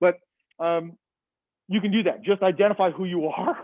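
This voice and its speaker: A man speaks loudly with an American accent. His pitch is high and his intonation fairly even. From Massachusetts. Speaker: biology professor. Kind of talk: lecture.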